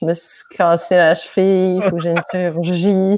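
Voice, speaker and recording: A woman speaks with a fairly low pitch. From Quebec, with primary school years in France. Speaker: neoclassical pianist. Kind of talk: casual chat.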